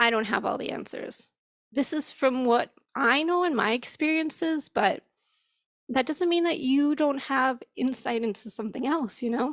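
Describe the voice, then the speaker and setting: Spoken at a moderate pace with an American accent, the voice shows ordinary pitch variation. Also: woman, high pitch for a woman. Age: 40s. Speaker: parent and church member. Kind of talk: church service panel talk.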